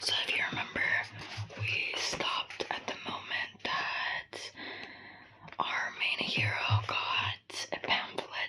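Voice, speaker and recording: Someone whispers at a very slow pace, leaving long, frequent pauses. Background noise is noticeable. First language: not English. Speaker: ASMR creator. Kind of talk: casual talk to camera. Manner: whispered.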